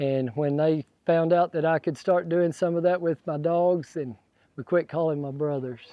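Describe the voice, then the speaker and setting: A man with a West Texas accent speaks at a moderate pace with fairly even intonation and a fairly high pitch. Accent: West Texas ranch. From West Texas, Throckmorton. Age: 60s. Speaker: cattle dog handler, rancher. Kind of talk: interview.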